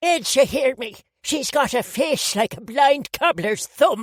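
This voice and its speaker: A woman's put-on character voice, high-pitched and fairly slow, with lively intonation. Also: dry, close sound with no echo. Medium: read story. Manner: blunt, gossipy, scolding.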